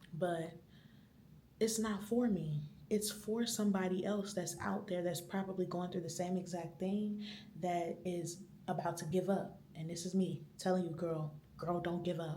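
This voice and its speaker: Whispering, a woman comes through noticeable background noise and audible room echo. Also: moderate pace. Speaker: vlogger. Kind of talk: vlog monologue. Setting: library. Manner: normally a loud talker.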